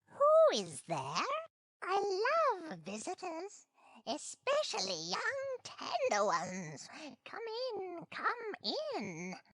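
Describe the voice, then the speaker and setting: Delivered at a very slow pace, the put-on character voice leaves long, frequent pauses. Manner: sweetly sinister, luring.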